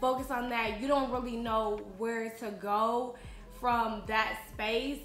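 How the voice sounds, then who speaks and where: Music plays behind a woman with a fairly high voice. Room echo is audible. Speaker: vlogger. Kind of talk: casual talk to camera. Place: home room.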